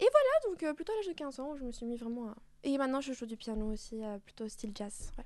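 A woman's high, dark and mellow voice, very fast with lively intonation. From Mexico and France. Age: 20s. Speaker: singer and dancer. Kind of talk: casual radio interview. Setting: studio.

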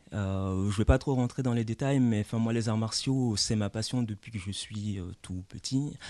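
A man with a dark, mellow tone and medium pitch speaks at a moderate pace with hardly any pauses. The background is quiet. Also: ordinary pitch variation. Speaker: lawyer and former martial arts champion. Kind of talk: radio interview.

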